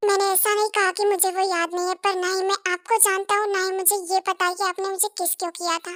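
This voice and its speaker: A woman puts on a character voice at extremely high pitch and a very fast pace. Her intonation stays monotone and flat in a dry, close sound with no echo. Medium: audio drama. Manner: polite, formal, hesitant.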